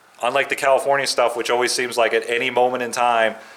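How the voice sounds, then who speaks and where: A man's medium-pitched voice is heard over noticeable background noise. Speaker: channel owner doing garage and shop build videos. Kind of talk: casual vlog talk to camera. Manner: halting, lost for words.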